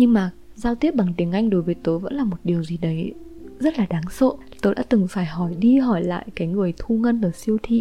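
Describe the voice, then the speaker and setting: Music sits in the background while a woman at medium pitch talks at a fairly quick pace with lively intonation. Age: 20s. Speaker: podcaster. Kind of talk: personal storytelling monologue.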